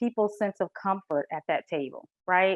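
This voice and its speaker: A woman is speaking. She has a Southern US accent. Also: dry, close sound with no echo. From US South. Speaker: corporate culture consultant. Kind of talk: presentation.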